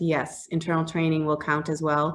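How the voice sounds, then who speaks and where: Here a woman speaks with a Boston accent. Her pitch is very deep and low. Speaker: HR business development manager presenting a grant program. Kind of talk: webinar presentation with Q&A. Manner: fast.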